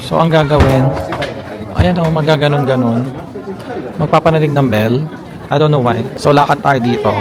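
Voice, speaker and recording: With long, frequent pauses at a moderate pace, a man talks at a fairly high pitch with ordinary pitch variation, amid audible room echo and crowd noise in the background. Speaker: travel vlogger. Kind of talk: travel vlog. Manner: animated.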